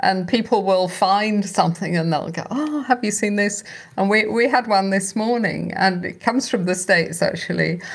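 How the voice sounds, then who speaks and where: With a British accent, a woman talks in a somewhat breathy voice with hardly any pauses. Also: medium pitch for a woman, ordinary pitch variation, moderate pace. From United Kingdom. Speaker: podcast host, founder of sobriety community. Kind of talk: scripted narration; interview.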